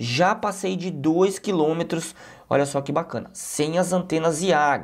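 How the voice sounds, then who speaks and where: With a Brazilian accent, this man talks. His voice sits fairly high. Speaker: tech YouTuber, drone reviewer. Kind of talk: product review with voice-over commentary. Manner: casual, conversational.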